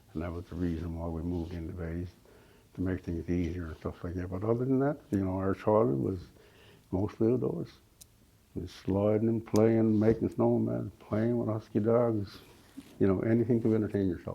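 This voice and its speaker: Lively intonation marks this man's speech at a moderate pace. His pitch is very deep and low. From Labrador, Canada. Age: 70s. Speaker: Inuk elder. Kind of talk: interview. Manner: halting, with repetitions.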